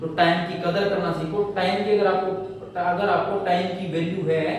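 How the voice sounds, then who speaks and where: A man with a high pitch talks at a moderate pace and fairly even intonation. Noticeable background noise and audible room echo are present. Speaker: English teacher. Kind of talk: online class lecture. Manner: repetitive, emphatic.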